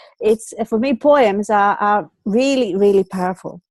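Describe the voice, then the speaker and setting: A woman talks at a moderate pace, her medium pitch showing ordinary variation. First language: Greek. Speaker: online show host. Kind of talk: casual chat. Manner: halting, many fillers and repeats.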